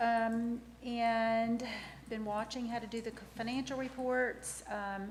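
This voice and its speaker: A woman speaks with a fairly high pitch. Audible room echo and noticeable background noise are present. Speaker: town finance director. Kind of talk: council meeting report. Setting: council meeting room. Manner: fast. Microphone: too far from microphone at first.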